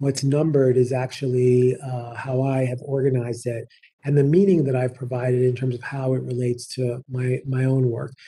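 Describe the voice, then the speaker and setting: Over a quiet background, a man speaks in a dark, mellow tone, somewhat breathy, with monotone, flat intonation. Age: 50s. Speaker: nursing professor and dean; nursing professor. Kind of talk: lecture. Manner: fast. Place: office. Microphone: webcam.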